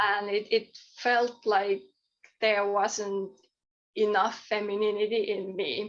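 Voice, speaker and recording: At a very slow pace, a woman with a Finnish accent speaks at a medium pitch in a monotone, flat intonation. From Finland. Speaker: author and poet. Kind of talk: podcast interview. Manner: halting, many repeated words.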